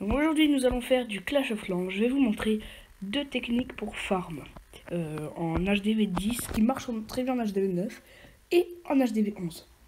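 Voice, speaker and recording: At a fairly slow pace, a woman with a fairly high pitch uses lively intonation over noticeable background noise. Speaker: gaming YouTuber. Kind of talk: gameplay tutorial commentary. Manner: halting, many fillers and repetitions.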